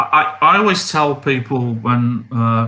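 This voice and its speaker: In a very clean recording with a silent background, a man with an Australian accent talks at a medium pitch with ordinary pitch variation. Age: 60s. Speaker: amateur astronomer. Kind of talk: live stream Q&A. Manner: halting.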